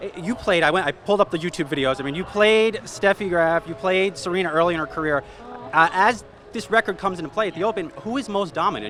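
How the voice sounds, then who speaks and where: An upbeat man with a high pitch, lively intonation and a very fast pace, with noticeable background noise. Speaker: financial news interviewer. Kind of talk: interview questions. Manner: upbeat, casual.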